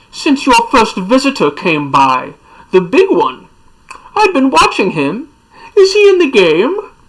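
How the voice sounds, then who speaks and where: A woman uses a put-on character voice with a high pitch and some hissing. She goes at a fairly slow pace with long, frequent pauses. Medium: read story. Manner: sly, mocking.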